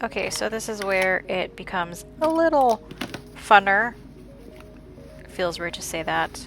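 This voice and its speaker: A woman at a fairly slow pace, music in the background. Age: 30s. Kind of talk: casual voice-over for a plan-with-me video. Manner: dry humor.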